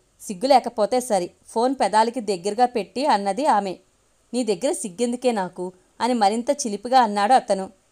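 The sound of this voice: Unforced voice, reading.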